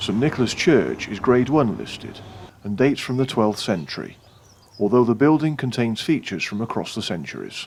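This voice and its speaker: A fairly quick pace and ordinary pitch variation, with vocal fry throughout. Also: man, medium pitch for a man. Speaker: walking vlogger. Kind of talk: travel vlog narration. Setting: inside a church. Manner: hushed.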